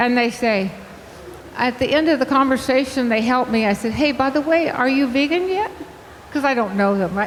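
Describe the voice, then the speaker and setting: A woman with a high voice speaks at a moderate pace with lively intonation and very even loudness, over noticeable background noise and audible room echo. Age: 80s+. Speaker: vegan health coach and speaker. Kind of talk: conference talk. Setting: stage with audience. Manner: animated, talkative.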